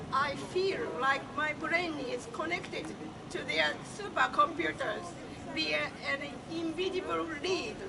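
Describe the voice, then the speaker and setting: Against crowd noise in the background, a woman speaks at a fairly slow pace with long, frequent pauses. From Japan. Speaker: activist, event organizer. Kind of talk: speech at a public demonstration. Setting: outdoors.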